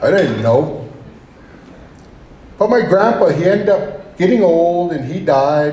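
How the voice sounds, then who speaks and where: With noticeable background noise behind him, a man speaks fairly slowly in a high voice with ordinary pitch variation. Long pauses come often. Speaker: state representative, hunting guide, storyteller. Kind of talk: live storytelling to an audience. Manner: casual, conversational.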